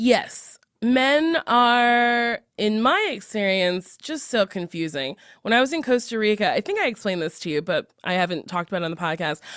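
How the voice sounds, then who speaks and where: A woman speaks loudly at a moderate pace, her fairly high pitch swinging very widely. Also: very clean recording, silent background. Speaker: podcast host. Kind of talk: casual chat.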